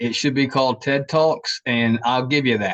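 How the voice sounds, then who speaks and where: A fairly slow delivery in a Southern US accent. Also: man. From US South, Savannah, Georgia. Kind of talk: casual chat.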